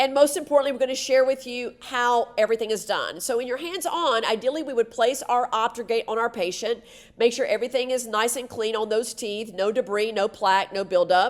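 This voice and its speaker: A woman with a fairly high pitch talks at a fairly quick pace, barely pausing and using ordinary pitch variation. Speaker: dental assistant educator. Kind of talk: webinar lecture. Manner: fast; soft-spoken.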